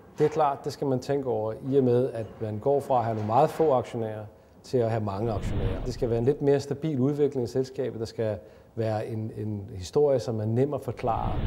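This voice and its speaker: A man talks fairly quickly at a medium pitch. It is an ordinary speaking voice. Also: fairly even intonation. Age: 40s. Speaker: company chief executive. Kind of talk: promotional interview statement.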